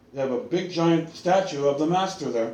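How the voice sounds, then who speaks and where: A man with an American accent speaks in a room with audible echo. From California. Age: 60s. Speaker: online Bible teacher. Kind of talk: religious teaching monologue. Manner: halting, many repetitions and fillers.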